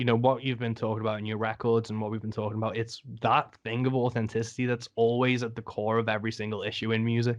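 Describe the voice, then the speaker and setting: At a very fast pace, a man speaks with hardly any pauses. His medium-pitched voice has a monotone, flat intonation. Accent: English. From England. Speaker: podcast host. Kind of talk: casual interview chat.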